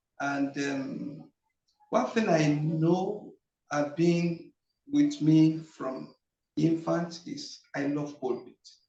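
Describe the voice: A man talks at a very slow pace with a fairly high pitch. His tone is dark and mellow, with audible room echo. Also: ordinary pitch variation.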